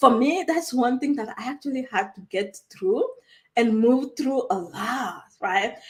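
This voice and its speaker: With a strong West African accent, a woman speaks at a fairly slow pace in a high, animated voice with very wide pitch swings. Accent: heavy West African. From Togo, West Africa. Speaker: online coach. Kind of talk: live stream talk. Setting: live stream from a new room. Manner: animated, conversational with frequent fillers.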